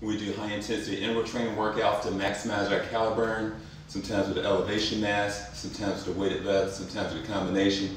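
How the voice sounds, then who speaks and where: Over light background noise and strong room echo, a man with a fairly low voice talks at a very fast pace. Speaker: fitness instructor. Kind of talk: tutorial. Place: home room.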